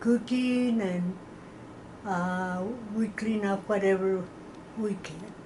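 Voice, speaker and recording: A woman with an American accent at a medium pitch, very slow pace, and fairly even intonation, with long, frequent pauses and audible room echo. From Texas, San Elizario near El Paso. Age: 80s+. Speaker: oral history interviewee. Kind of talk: oral history interview. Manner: halting.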